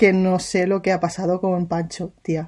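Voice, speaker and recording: A woman speaks at a medium pitch. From Catalonia (Sabadell). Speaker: podcast co-host. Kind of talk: casual chat.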